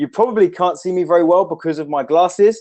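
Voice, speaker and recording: The setting is quiet. A man's speech races along at a very fast pace. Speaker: online marketing trainer. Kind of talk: live webinar training. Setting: home office. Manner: animated. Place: office. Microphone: webcam.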